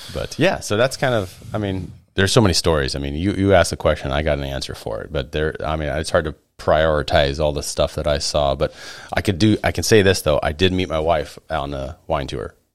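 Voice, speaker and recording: Using vocal fry, a man talks at a fairly quick pace in a very deep, low pitch. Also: ordinary pitch variation. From Oregon, US Pacific Northwest. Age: 30s. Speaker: coworker and podcaster. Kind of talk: casual chat. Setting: studio.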